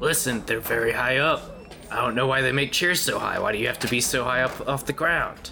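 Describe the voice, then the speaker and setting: Using a put-on character voice, a man talks at a fairly quick pace and a medium pitch over clear background noise. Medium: actual play. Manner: sarcastic, crude.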